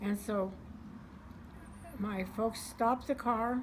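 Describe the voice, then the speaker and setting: With an American accent, a woman speaks at a medium pitch in a somewhat breathy voice and a monotone, flat intonation. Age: 80s+. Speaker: World War Two era eyewitness. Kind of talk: interview answer.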